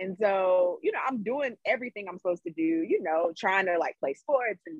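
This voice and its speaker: A woman speaks in an ordinary speaking voice. Her pitch is medium. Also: dry, close sound with no echo. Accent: American. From US South, Greensboro, North Carolina. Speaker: electrical engineer. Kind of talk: interview.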